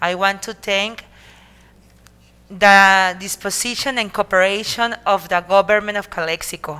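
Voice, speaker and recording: In a Spanish accent, this voice has a bright, sharp tone, a fairly slow pace and fairly even intonation. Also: woman. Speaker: city mayor. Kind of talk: formal speech. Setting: council meeting. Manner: halting.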